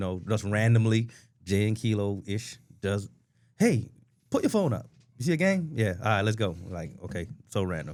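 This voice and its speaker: On a very clean recording with a silent background, a fairly low-pitched man with an American accent speaks in an animated tone at a moderate pace, with lively intonation and long, frequent pauses. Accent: noticeable regional accent, comes and goes. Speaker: softball player and podcast co-host. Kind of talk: casual chat.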